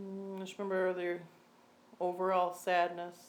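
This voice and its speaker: The delivery is fairly slow, with an American accent. Intonation stays monotone and flat. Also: woman. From Michigan. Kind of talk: interview answer.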